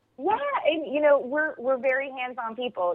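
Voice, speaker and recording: A woman with lively intonation. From Pennsylvania. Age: 30s. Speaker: TV host, interior designer. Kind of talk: interview.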